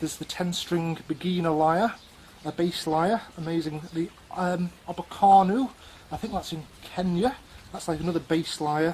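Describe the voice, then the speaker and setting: A man with a Scouse accent speaks at a fairly slow pace in a high voice, his intonation fairly even. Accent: Scouse, self-described as dodgy. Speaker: music instrument presenter. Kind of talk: casual presentation. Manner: halting, many filler ums.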